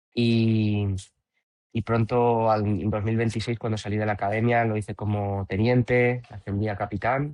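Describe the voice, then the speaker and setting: Monotone and flat, a man talks at a fairly low pitch. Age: 30s. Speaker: professional natural bodybuilder and coach. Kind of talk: podcast interview. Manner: hesitant, many repetitions.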